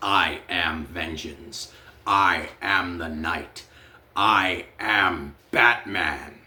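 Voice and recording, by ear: A man's put-on character voice, very deep and low, raspy, at a very slow pace with ordinary pitch variation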